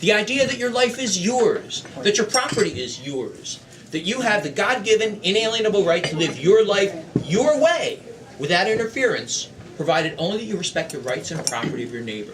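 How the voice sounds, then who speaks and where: Amid noticeable background noise and audible room echo, a man with an American accent talks at a fairly quick pace in a high pitch with very wide pitch swings. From US, Philadelphia (North Philadelphia). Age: 60s. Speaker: political candidate. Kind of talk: stump speech. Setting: meeting hall with audience. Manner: practiced public speaker.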